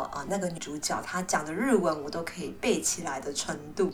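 Audible room echo surrounds a woman speaking at a medium pitch and a moderate pace. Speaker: Chinese language teacher. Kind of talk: language lesson monologue.

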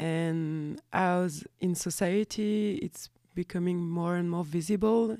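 A woman speaks very slowly in a French accent, her pitch fairly low and her tone dark and mellow. The recording is very clean, with a silent background. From France. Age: 30s. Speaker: graphic designer and fanzine maker. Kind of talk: casual interview chat. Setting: radio studio, live recording.

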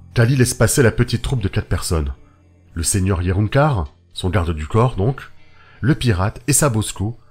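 A man speaks at a moderate pace in a fairly low, somewhat breathy voice, with a dramatic tone and lively intonation, on a very clean recording with a silent background. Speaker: audio fiction narrator. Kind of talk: dramatic narration of a solo role-playing story, read as an audio saga. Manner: dramatic, building tension.

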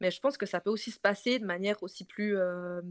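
A woman's plain, everyday voice at a medium pitch, with ordinary pitch variation and a fairly quick pace. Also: dry, close sound with no echo. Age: 30s. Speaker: entrepreneur. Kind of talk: casual chat.

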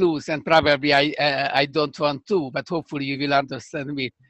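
In a strong Hungarian accent, a man with a fairly high pitch talks at a moderate pace with fairly even intonation. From Hungary (Budapest). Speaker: scientist, computational neuroscientist. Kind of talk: interview. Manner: halting.

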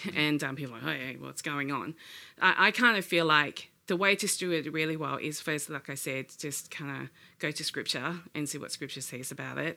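A woman with a very deep, low pitch, a bright, sharp tone and vocal fry speaks at a moderate pace with big swings in loudness, in a very clean recording with a silent background. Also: ordinary pitch variation. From Asia. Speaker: church member with gift of discernment. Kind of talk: casual chat.

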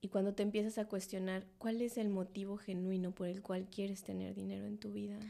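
The voice has a dark, mellow tone and a monotone, flat intonation, moving at a fairly quick pace with hardly any pauses. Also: woman, medium pitch for a woman. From Mexico City. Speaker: personal finance teacher. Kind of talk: casual interview chat.

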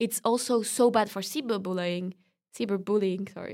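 A woman with a French accent on a very clean recording with a silent background. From France. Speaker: student. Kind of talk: casual interview conversation.

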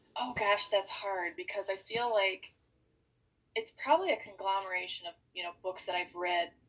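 A woman uses a normal speaking voice with an American accent. Her pitch is medium and her pace moderate. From US Midwest, Wisconsin. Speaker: author. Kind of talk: casual chat.

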